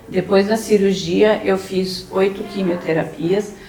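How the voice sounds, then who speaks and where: Against noticeable background noise, a woman talks at a fairly slow pace, her medium-pitched voice monotone and flat. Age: 60s. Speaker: breast cancer survivor. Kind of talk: testimony. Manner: halting.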